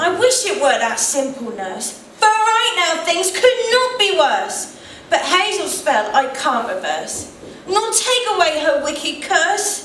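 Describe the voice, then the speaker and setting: A put-on character voice that sounds female, pitched extremely high with very wide swings, delivered sing-song at a fairly slow pace with a slight echo. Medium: stage play. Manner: rhyming, sing-song.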